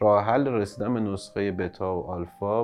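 Moderately paced speech from a man, fairly low-pitched, in an ordinary speaking voice. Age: 30s. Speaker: startup founder and CEO. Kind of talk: interview. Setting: studio.

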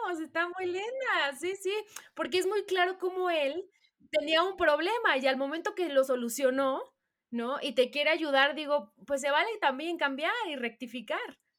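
A woman speaks in a Mexican accent at an extremely high pitch. Her intonation is lively. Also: moderate pace. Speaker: podcast co-host. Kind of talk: casual interview.

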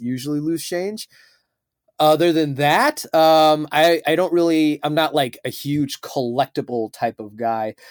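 In an American accent, a man with an ordinary speaking voice talks at a fairly slow pace with ordinary pitch variation, in a very clean, dry, close recording with no echo and a silent background. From Chicago. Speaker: interviewee. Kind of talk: casual interview.

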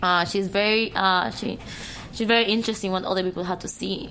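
With a Cuban accent, a woman talks at a fairly quick pace and medium pitch in a monotone, flat delivery over noticeable background noise. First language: Spanish. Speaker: adult film actress. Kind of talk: casual chat. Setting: studio.

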